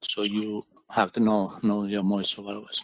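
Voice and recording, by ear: In a dry, close recording with no echo, a man speaks at a fairly slow pace with a fairly low pitch and a fairly bright tone.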